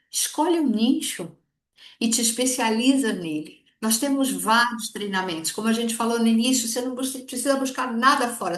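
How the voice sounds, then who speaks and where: A woman's high-pitched, animated voice with lively intonation at a moderate pace. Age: 60s. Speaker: direct sales consultant. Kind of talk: sales training talk.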